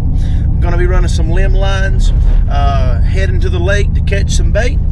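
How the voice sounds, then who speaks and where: A man speaks at a moderate pace in a dry sound with no echo. Loud background noise runs behind him. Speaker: fishing vlogger. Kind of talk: casual vlog chat. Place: car. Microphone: phone near.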